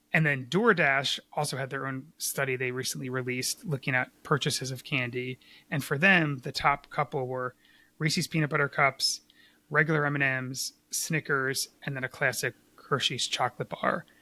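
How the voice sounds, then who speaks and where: A man with an American accent speaks in a fairly high pitch with a bright, sharp tone and fairly even intonation. The sound is dry and close with no echo, on a very clean recording with a silent background. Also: moderate pace. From US, Philadelphia. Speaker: podcast co-host. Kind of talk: casual podcast chat.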